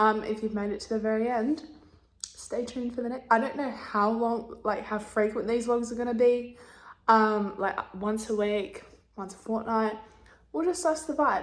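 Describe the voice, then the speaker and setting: With an Australian accent and ordinary pitch variation, the voice carries an audible room echo. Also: woman, fairly high pitch for a woman. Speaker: vlogger. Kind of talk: casual vlog talk to camera. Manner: slow.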